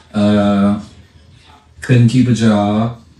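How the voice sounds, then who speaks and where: A man talks with ordinary pitch variation, and audible room echo surrounds his voice. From US South, Charlotte, North Carolina. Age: 60s. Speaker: barber. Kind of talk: interview.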